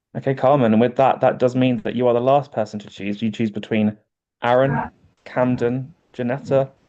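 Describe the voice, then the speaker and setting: A man with a British accent talks at a fairly quick pace and medium pitch. His tone is dark and mellow, and his intonation monotone and flat. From UK. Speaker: game host. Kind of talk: online game hosting.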